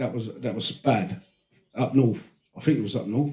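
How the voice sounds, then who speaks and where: Lively in intonation, a man talks at a moderate pace with a dark, mellow, somewhat breathy tone. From Britain, Greek heritage. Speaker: podcast host. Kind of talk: casual chat. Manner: animated.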